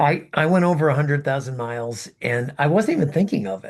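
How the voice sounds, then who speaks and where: A man talks at a fairly quick pace and a fairly high pitch, somewhat breathy, with lively intonation. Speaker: podcast co-host, ultrarunner. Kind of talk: casual chat.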